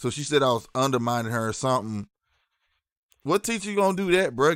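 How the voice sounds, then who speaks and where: With a St. Louis accent, a man speaks fairly quickly in an animated tone at a fairly high pitch, on a very clean recording with a silent background. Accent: St. Louis city. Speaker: live streamer. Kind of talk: casual livestream chat.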